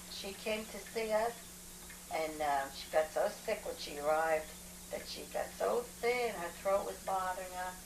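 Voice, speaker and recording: A woman speaks at a fairly slow pace with ordinary pitch variation. Room echo is audible, and background noise is noticeable. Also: medium pitch for a woman. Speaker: grandmother recalling family history. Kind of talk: casual family conversation.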